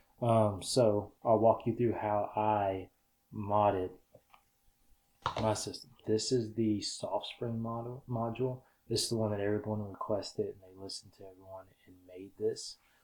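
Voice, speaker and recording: Quiet and dark-toned, a man speaks at a moderate pace with a fairly low pitch and monotone, flat intonation, his loudness swinging widely. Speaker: filmmaker and camera gear YouTuber. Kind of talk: tutorial. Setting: home studio. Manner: quiet, low audio.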